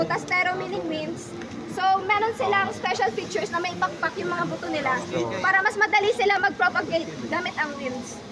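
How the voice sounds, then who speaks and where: A woman speaks at a moderate pace in an extremely high pitch, using a raised, projected voice with very wide pitch swings. Noticeable background noise runs underneath. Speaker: tour guide. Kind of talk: guided tour talk. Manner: halting.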